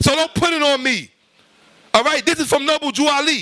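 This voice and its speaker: Shouting in a raised, projected voice, a man speaks at a fairly quick pace in an extremely high pitch, with a bright, sharp, animated tone. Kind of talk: heated lecture. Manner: loud, yelling.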